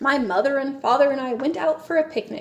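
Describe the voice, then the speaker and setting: A woman's put-on character voice, high-pitched and at a fairly quick pace. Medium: read story.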